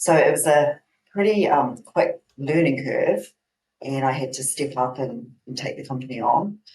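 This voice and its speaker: A woman with a New Zealand accent speaks at a moderate pace with ordinary pitch variation. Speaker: herbal company owner, naturopath. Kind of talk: interview.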